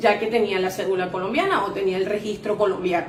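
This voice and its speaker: A speaker with a Venezuelan accent is heard through audible room echo and noticeable background noise. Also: woman. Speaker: insurance sales agent. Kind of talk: interview testimony.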